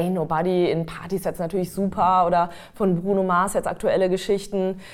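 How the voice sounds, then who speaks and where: A woman speaks at a medium pitch in a flat, monotone way. Her loudness is very even, and the recording is very clean with a silent background. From Westphalia, Germany. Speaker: singer-songwriter and voice trainer. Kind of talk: casual interview.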